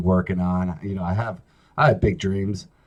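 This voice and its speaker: A man talks in a somewhat breathy voice. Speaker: talk show host. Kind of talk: casual solo talk show monologue. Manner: slow, not very clean delivery; halting, many fillers.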